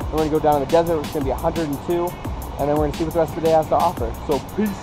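A man's very fast, monotone, flat delivery, dry with no echo, over clear music in the background. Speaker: travel vlogger. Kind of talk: casual vlog chat. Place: forest. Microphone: phone near.

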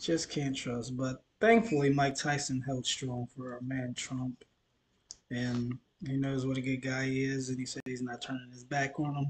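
A man at a moderate pace and medium pitch, somewhat breathy, with monotone, flat intonation. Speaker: reaction video YouTuber. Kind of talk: casual reaction commentary. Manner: low energy. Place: home room. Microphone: webcam.

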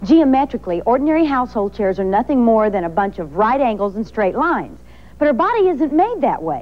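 Fairly high in pitch, a woman speaks with very wide pitch swings. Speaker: infomercial presenter. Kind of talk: TV commercial read. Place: studio.

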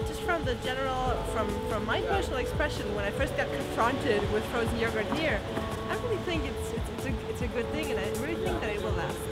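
A woman talking at a fairly quick pace over loud music in the background. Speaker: interviewee. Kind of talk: interview answer. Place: street.

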